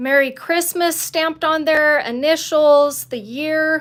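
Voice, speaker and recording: A woman with an American accent speaks at a fairly slow pace with ordinary pitch variation, in a very clean recording with a silent background. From Utah, Salt Lake City. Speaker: leather crafter. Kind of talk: live craft tutorial. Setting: livestream.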